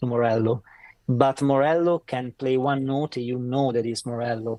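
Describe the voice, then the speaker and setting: A man's dark, mellow, medium-pitched voice in an Italian accent, fairly slow and fairly even in intonation, with a dry, close sound and no echo. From northern Italy. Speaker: saxophone player. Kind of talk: interview. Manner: halting; talkative.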